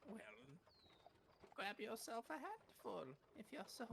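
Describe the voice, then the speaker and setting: A man puts on a gravelly character voice at an extremely high pitch, speaking at a fairly slow pace. Clear background noise can be heard. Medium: actual play. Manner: quiet, halting, folksy.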